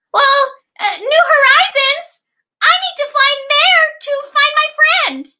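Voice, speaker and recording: A squeaky, cartoonish character voice at extremely high pitch and fairly slow pace. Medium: puppet show. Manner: hesitant, stammering.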